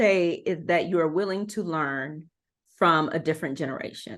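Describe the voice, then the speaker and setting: A woman with an American accent and an ordinary speaking voice talks at a moderate pace. Her intonation is lively against a quiet background. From Texas, Houston. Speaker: anti-racist educator and consultant. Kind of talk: podcast interview.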